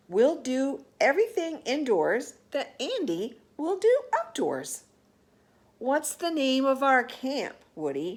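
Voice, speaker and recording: Put-on character voice from a woman, high-pitched and at a fairly slow pace. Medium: read story.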